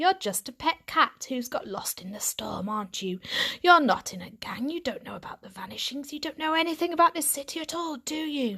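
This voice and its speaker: Putting on a character voice, a woman sounds gruff and gravelly at a high pitch, moving at a fairly quick pace. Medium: read story. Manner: gruff, blunt.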